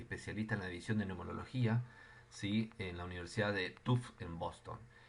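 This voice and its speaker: A man talks at a fairly quick pace, his pitch fairly low with ordinary variation. Audible room echo surrounds his voice. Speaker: physiotherapy lecturer. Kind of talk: lecture.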